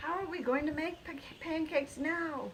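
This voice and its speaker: A woman's squeaky, put-on character voice at an extremely high pitch, with clear background noise. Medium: read story.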